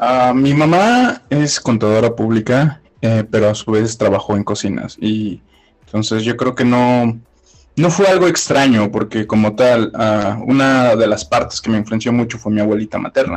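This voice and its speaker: A man at a medium pitch talks at a fairly slow pace with ordinary pitch variation, an ordinary speaking voice. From Mexico, Puebla. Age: 30s. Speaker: chef. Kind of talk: casual interview chat.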